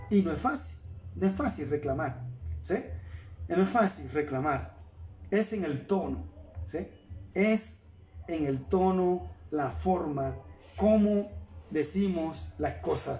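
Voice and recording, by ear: A man with a fairly high pitch speaks at a slow pace, his tone dark and mellow. His intonation is lively, and the room echo is audible.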